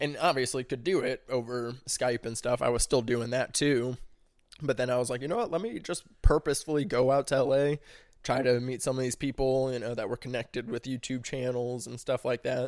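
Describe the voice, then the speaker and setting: A man with an American accent talks in a normal speaking voice at a fairly quick pace, medium in pitch with fairly even intonation. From US Midwest, St. Louis area, Missouri. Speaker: podcast guest. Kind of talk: casual chat.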